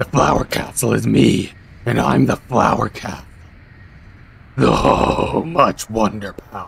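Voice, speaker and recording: Doing a put-on character voice, a man growls in a menacing tone at a fairly low pitch, moving at a fairly slow pace with long, frequent pauses. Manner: menacing, boastful.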